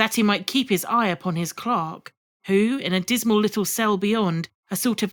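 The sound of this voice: An unforced reading voice with ordinary pitch variation comes through over a quiet background.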